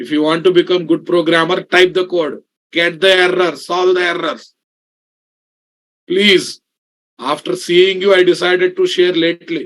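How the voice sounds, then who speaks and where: A man speaks with a South Indian accent at a moderate pace, his pitch high. His intonation is monotone and flat, broken by long, frequent pauses. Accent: South Indian accent in Hindi. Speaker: programming instructor. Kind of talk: online class lecture. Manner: casual, conversational with code-switching.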